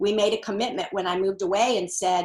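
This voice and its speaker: A woman with an unremarkable speaking voice talks at a moderate pace and medium pitch. Her intonation is fairly even, and the recording is very clean with a silent background. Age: 60s. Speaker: author and women's seminar leader. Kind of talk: interview.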